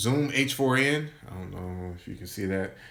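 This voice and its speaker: Audible room echo surrounds a man speaking with an American accent and lively intonation. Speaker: software developer and coding channel host. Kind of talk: casual livestream chat. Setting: live stream. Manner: casual, conversational.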